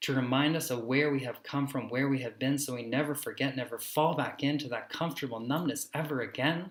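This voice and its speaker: At a moderate pace, a man talks in a plain, everyday voice, fairly high in pitch with fairly even intonation. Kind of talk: spoken word poetry.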